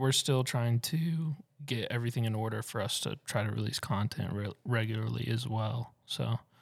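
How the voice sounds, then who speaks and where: Speaking in a Southern US accent, a man at medium pitch talks at a moderate pace with ordinary pitch variation in a very clean recording with a silent background. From Tennessee.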